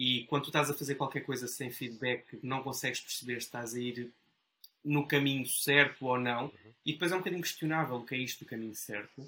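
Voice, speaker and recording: The man's tone is bright and sharp, his pitch medium. He goes at a fairly quick pace with fairly even intonation. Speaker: board game YouTuber. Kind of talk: casual interview.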